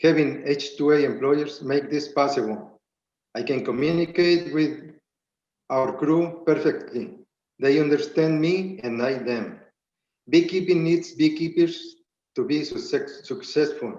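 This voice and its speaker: Here a man with a Spanish accent talks at a fairly slow pace. His pitch is fairly high, with ordinary pitch variation. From Spanish-speaking country, immigrant. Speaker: beekeeper and farm business owner. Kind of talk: prepared public testimony. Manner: halting, reading with restarts.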